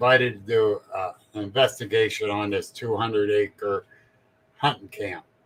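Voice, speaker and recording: A man at a medium pitch and a fairly slow pace, with ordinary pitch variation. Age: 60s. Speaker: paranormal podcast host. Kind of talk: casual interview chat.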